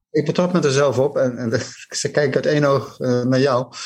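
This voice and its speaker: A man speaks at a fairly slow pace, his voice somewhat breathy. His pitch sits fairly high. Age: old. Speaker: jazz enthusiast, TV maker. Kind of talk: casual interview. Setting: video call.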